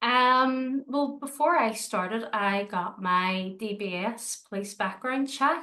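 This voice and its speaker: Speaking very slowly with hardly any pauses, a woman uses a Northern Irish accent. Her fairly high voice has a bright, sharp tone and ordinary pitch variation. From Northern Ireland, Belfast. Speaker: dog trainer and dog walker. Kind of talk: interview. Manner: hesitant, many fillers.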